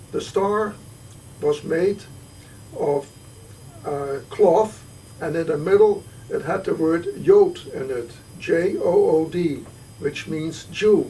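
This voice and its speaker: A man with a Dutch accent at a very slow pace, with long, frequent pauses and noticeable background noise. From Netherlands, Arnhem. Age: 70s. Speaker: Holocaust survivor. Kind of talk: testimony. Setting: home visit. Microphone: poor quality recording.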